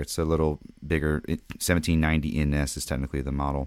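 A man with a very deep, low pitch at a very fast pace, in a very clean recording with a silent background. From Louisiana. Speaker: guitar pedal builder. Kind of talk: casual chat.

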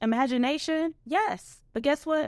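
A woman's plain, everyday voice at a moderate pace, with lively intonation. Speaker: podcast host and self-empowerment guide. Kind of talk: solo podcast talk.

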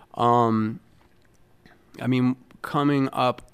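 Here is a man with an American accent. His voice sits at a medium pitch with ordinary pitch variation. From New York. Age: 50s. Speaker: musician. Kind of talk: casual chat. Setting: studio. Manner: halting.

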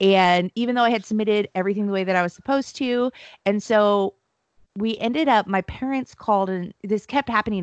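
Speaking in a plain, everyday voice with an American accent, a woman talks at medium pitch and a fairly quick pace with ordinary pitch variation. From US, military family moving around. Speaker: MC, speaker and finance entrepreneur. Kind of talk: casual interview chat.

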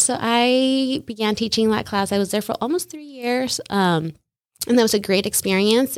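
A woman's unremarkable speaking voice in an American accent, with ordinary pitch variation and a moderate pace, on a very clean recording with a silent background. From Salinas, California. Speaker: massage studio owner and former teacher. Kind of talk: casual interview chat.

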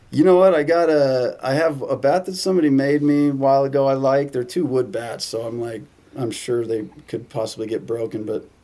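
A man with a Southern Californian accent, fairly high in pitch, at a fairly quick pace with ordinary pitch variation. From US West Coast, San Diego. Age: 30s. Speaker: baseball content creator. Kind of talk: casual chat.

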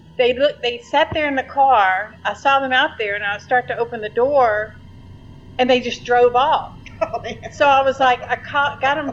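A voice with a Louisiana accent and ordinary pitch variation. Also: woman, high pitch for a woman, moderate pace. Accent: Louisiana Southern US. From Shreveport, Louisiana. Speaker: storyteller of paranormal experiences. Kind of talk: casual storytelling.

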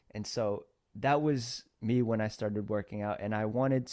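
In an American accent, a man with a fairly low pitch and a dark, mellow tone speaks at a fairly slow pace with fairly even intonation, in a very clean recording with a silent background. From Philippines, then US from age six. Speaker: entrepreneur and podcast host. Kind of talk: interview.

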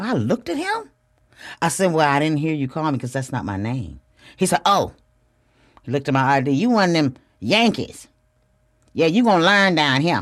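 Animated tone at a moderate pace, broken by long, frequent pauses. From US Midwest, Flint, Michigan. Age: 50s. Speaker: podcast host. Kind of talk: solo podcast monologue.

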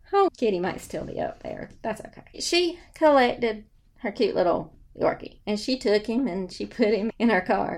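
A woman with a Southern US accent speaks with very wide swings in pitch. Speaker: real estate broker. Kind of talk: casual storytelling monologue. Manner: animated. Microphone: new microphone.

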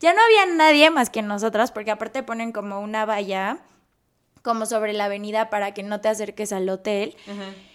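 A woman speaks at a fairly quick pace with a fairly high pitch. Her pitch variation is ordinary, and her loudness swings widely. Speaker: airline pilot and influencer. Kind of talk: casual chat. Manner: animated.

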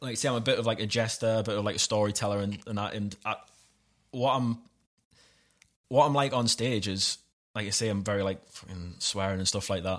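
A man with a Geordie accent speaks at medium pitch and a moderate pace, leaving long, frequent pauses. The recording is very clean, with a silent background. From Newcastle, north-east England. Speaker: stand-up comedian. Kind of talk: casual chat.

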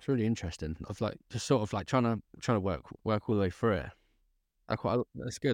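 At a fairly quick pace, a man speaks with a fairly low pitch and ordinary pitch variation. The sound is dry and close with no echo, in a very clean recording with a silent background. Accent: English. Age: 20s. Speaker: podcast host. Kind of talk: casual interview. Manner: halting.

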